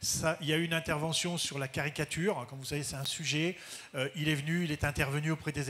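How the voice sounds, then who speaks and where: Speaking very fast, a man delivers his lines in a fairly high voice with monotone, flat intonation. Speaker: school head. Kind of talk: panel talk. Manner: halting.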